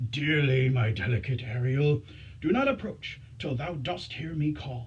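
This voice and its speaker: Clear background noise accompanies a put-on character voice at a low-to-middle pitch. It moves at a moderate pace. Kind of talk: Shakespearean stage verse. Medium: stage play. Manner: commanding, formal verse speech.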